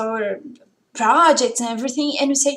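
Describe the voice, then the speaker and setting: A woman talks in a high voice with ordinary pitch variation. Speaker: private English teacher. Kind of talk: casual video talk. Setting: at home.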